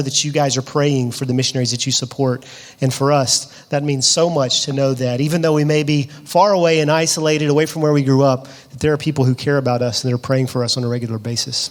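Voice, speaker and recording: Noticeable background noise sits behind a man with an American accent and a fairly high pitch. He talks at a very fast pace with fairly even intonation. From US South, Georgia (Lovejoy, south of Atlanta). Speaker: missionary. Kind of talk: interview in church service.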